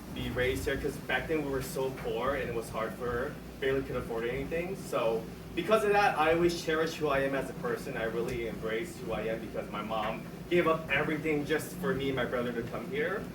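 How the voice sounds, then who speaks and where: Speaking with a Cantonese accent, a man talks very fast at a fairly high pitch with lively intonation. Noticeable background noise and audible room echo surround him. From US, Chinese-Vietnamese immigrant family. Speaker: improv performer and game host. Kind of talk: personal heritage story on stage; introducing an improv game.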